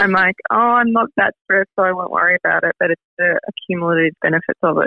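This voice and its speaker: A woman with an Australian accent at a very fast pace. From Melbourne, Australia. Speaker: beauty brand founder. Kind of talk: casual interview.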